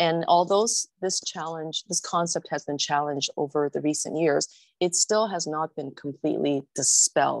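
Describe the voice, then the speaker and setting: With a Canadian accent, a woman speaks at a moderate pace in a very deep, low pitch with vocal fry and ordinary pitch variation, the sound dry and close with no echo. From immigrant to Canada in the 1970s, raised in Canada. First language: not English. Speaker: city councillor, guest speaker. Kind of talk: presentation talk. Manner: hesitant, many fillers and repetitions.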